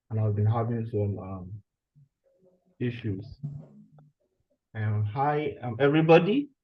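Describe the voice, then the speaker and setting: At a fairly slow pace, a man speaks in a somewhat breathy medium pitch, leaving long, frequent pauses. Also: ordinary pitch variation. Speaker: graduate student. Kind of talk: online seminar talk. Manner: halting.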